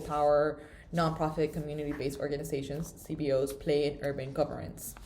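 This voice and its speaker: A woman talks at a very fast pace with a very deep, low pitch. Her dark, mellow tone is somewhat breathy. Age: 20s. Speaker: student. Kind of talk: casual chat.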